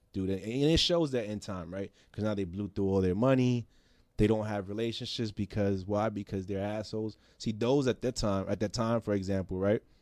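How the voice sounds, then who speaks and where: Recorded very cleanly against a silent background, a man with an American accent speaks at a fairly quick pace, fairly low in pitch with ordinary variation. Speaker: designer and investor. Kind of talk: casual chat. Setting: studio. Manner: loud; animated.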